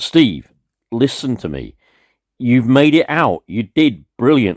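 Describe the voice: In a very clean recording with a silent background, the speaker uses a put-on character voice at a slow pace with very wide pitch swings. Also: man, medium pitch for a man.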